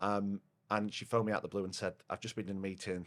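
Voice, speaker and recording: A man with a Yorkshire accent talks at a fairly quick pace in a fairly low pitch, his intonation flat and monotone. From northern England, Rotherham, Yorkshire. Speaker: partnerships manager at a software company. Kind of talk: podcast interview. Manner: loud.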